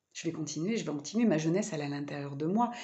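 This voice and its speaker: Very wide pitch swings in a woman's somewhat breathy voice. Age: 40s. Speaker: vlogger and spiritual therapist. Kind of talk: personal vlog monologue. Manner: halting, many fillers.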